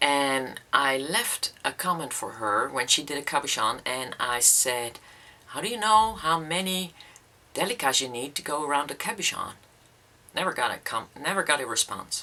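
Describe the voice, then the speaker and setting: Over noticeable background noise, a woman with a Dutch accent speaks at a moderate pace in a very deep, low voice that swings very widely in pitch. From Netherlands. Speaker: beading YouTuber. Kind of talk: casual vlog talk. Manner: hesitant, many fillers.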